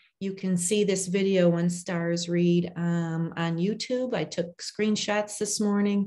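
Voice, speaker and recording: Her voice dark and mellow, a woman speaks at a fairly low pitch with monotone, flat intonation. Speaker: reading education nonprofit leader. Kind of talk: conference presentation. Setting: video call. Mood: earnest, personal. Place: home room. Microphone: video call.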